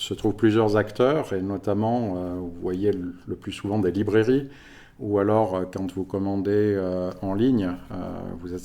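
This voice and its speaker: This man's voice sits at a fairly low pitch. His tone is dark and mellow. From France (Paris region). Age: 50s. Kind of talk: podcast interview.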